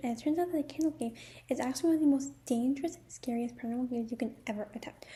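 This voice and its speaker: Soft-spoken and dark, mellow in tone, a woman speaks very fast at a high pitch with ordinary pitch variation. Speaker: YouTuber. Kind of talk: casual vlog talk with reading aloud of rules. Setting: at home, others sleeping. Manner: quiet, speaking softly.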